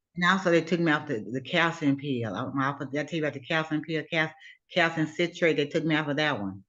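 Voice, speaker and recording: In an American accent, a woman with a very deep, low pitch speaks at a very fast pace. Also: ordinary pitch variation. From US South, Alabama. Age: 70s. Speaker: client. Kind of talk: testimony.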